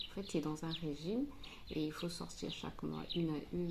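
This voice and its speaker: The speech moves at a fairly slow pace, with room echo clearly audible. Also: woman. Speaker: family vlogger. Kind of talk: casual vlog talk to camera. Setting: home kitchen. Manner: soft-spoken, speaking quietly.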